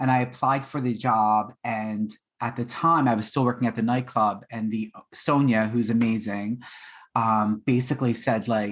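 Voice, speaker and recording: In a Philadelphia accent, a man talks at medium pitch and a moderate pace. His intonation is monotone and flat, and the recording is very clean with a silent background. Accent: Philadelphia American English. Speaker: baker and former restaurant worker. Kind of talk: podcast interview. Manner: casual, with many fillers.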